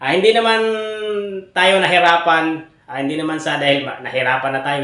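A man at a fairly quick pace with ordinary pitch variation, in audible room echo. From Philippine provinces, outside Manila. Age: 30s. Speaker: vlogger and bibingka vendor. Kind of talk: casual vlog update. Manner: hesitant, many fillers.

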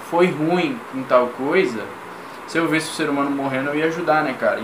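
There's noticeable noise in the background. The man talks at a moderate speed. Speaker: react video creator. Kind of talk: casual reaction commentary. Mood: critical, opinionated. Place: home room. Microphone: webcam.

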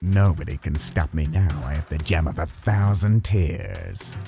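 A man puts on a character voice with a very deep, low pitch and keeps a moderate pace.

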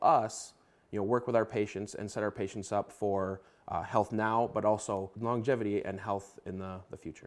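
A man speaks with a plain, everyday voice at a fairly low pitch. His pace is moderate and his intonation fairly even. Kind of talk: interview answer. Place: office. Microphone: lapel.

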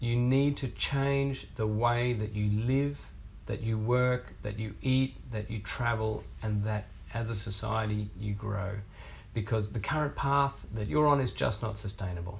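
At a fairly slow pace, a man speaks in an Australian accent. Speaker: researcher, research fellow. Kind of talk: prepared video statement. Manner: earnest. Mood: earnest, concerned. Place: office.

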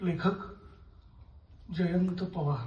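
Music plays in the background as a man speaks at a high pitch with ordinary pitch variation. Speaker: theatre artist. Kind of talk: dramatised literary reading on stage. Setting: theatre stage with music. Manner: emotional, reflective.

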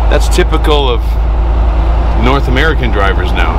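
A man's voice, dry and without echo, competes with loud background noise. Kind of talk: casual vlog chat. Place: car. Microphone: camera far.

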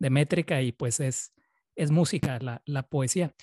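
A man speaks in a fairly high, somewhat breathy voice. The sound is dry with no echo, and the background is quiet. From Chihuahua, northern Mexico. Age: 30s. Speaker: interviewer, Spanish teacher. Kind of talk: interview. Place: home room. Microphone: studio mic.

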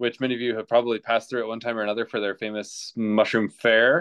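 Male speech, quiet background. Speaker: guest. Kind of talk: self-introduction on a group video call. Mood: friendly, relaxed. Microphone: video call.

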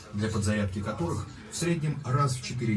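Against clear music in the background, a man talks at a moderate pace with ordinary pitch variation. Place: boat.

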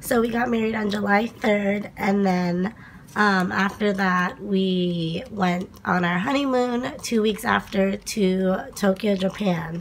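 Slow pace and fairly even intonation. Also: woman, medium pitch for a woman.

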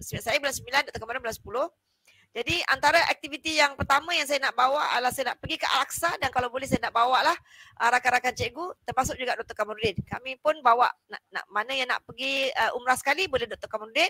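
A woman with a high pitch and a bright, sharp tone uses a raised, projected voice at a fairly quick pace, with big swings in loudness, in a dry sound with no echo over a quiet background. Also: ordinary pitch variation. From Malaysia. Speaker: lecturer and live talk show host; lecturer, live talk show host. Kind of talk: live talk show. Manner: chatty, with frequent fillers.

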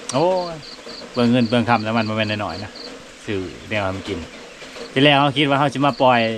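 Ordinary pitch variation, a dry sound with no echo, and noticeable background noise. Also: man. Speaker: rural vlogger. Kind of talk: casual vlog chat. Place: farm machine. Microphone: phone near.

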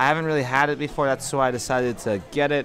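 A man is heard over crowd noise in the background, the sound dry with no echo. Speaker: travel vlogger. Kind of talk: casual vlog chat. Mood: upbeat, cheerful. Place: cafe. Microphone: phone near.

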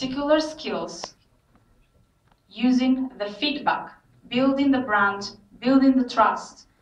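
This woman talks at a very slow pace with a high pitch. Her pitch varies in an ordinary way, and the room echo is audible. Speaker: presenter. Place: hall.

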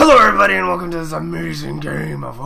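A man's gravelly put-on character voice at a very fast pace. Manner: dramatic announcer.

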